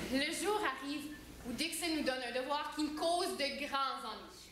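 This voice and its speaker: A woman speaks with a high pitch and fairly even intonation, with audible room echo. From Ontario, Hanmer. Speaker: student performer. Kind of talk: stage monologue.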